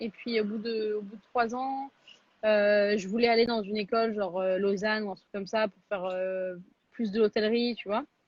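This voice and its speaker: At a moderate pace, a woman with a fairly high pitch speaks with monotone, flat intonation and big swings in loudness. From France, Paris. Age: 20s. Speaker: chef. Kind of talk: interview. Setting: Instagram live video call. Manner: casual, many fillers.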